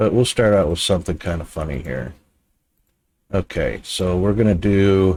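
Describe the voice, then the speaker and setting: With an American accent, a man speaks in a very deep, low voice with a dark, mellow tone. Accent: American, barely any Aussie. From United States. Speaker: live streamer. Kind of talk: casual live stream chat.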